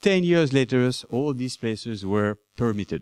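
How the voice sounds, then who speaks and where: With a French accent, a man speaks with lively intonation in a dry, close sound with no echo. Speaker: anthropology professor. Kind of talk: conference talk. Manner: halting.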